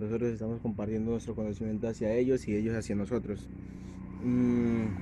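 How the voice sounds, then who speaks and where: Fairly quick and monotone, a man with a fairly low pitch and a dark, mellow tone speaks with flat intonation. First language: Sikuani (speaking Spanish). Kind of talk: testimony. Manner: halting, many hesitations.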